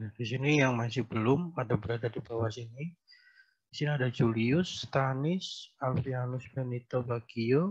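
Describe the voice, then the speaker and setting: Somewhat breathy and medium in pitch, a man speaks with ordinary pitch variation and big swings in loudness. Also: moderate pace. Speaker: university lecturer. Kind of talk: online lecture. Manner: soft-spoken.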